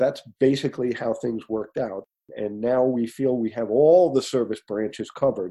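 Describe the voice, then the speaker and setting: This man has an American accent and a medium-pitched voice with a dark, mellow tone. He speaks at a moderate pace with ordinary pitch variation. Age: 60s. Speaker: coffee company founder. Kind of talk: interview.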